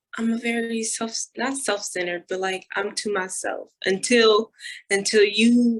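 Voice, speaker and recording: This woman is soft-spoken. Her pitch is fairly high. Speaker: social media personality and college athlete. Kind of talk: casual chat.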